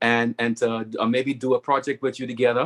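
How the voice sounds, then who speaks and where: The sound is dry and close with no echo. A man at medium pitch for a man speaks in a Bahamian accent with monotone, flat intonation at a moderate pace. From Bahamas. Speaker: webinar speaker, network marketing member. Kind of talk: testimonial speech on webinar.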